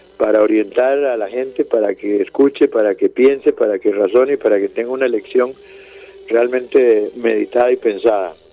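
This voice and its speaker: A man at a moderate pace, dry and close with no echo, against noticeable background noise. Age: 60s. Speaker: presidential candidate. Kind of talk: radio interview.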